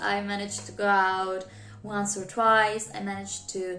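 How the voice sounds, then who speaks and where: Music plays in the background as a woman speaks with audible room echo. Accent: non-native. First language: not English. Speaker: YouTuber, new English teacher. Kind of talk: casual vlog talk to camera.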